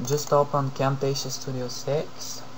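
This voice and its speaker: A man's medium-pitched voice at a fairly slow pace, over noticeable background noise. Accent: Bulgarian. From Bulgaria. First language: Bulgarian. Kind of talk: software tutorial narration. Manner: hesitant, many fillers.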